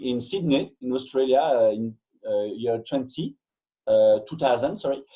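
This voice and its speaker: This man speaks at a moderate pace with a French accent. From Belgium. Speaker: fitness coach and educator. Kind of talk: interview. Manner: halting, frequent hesitations.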